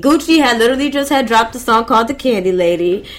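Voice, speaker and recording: A woman with an American accent, lively intonation, and noticeable background noise. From US South (Atlanta). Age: 20s. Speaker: DJ and radio host. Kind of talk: casual chat.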